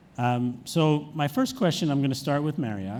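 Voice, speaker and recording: A man with an American accent talks at a moderate pace in a dark, mellow tone. His pitch varies in an ordinary way, and the room echo is audible. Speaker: media executive, panel moderator. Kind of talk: conference panel moderation.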